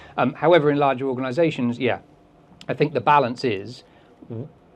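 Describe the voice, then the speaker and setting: A man with an English accent and ordinary pitch variation. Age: 40s. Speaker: behaviour consultant and speaker. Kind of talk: talk with audience Q&A.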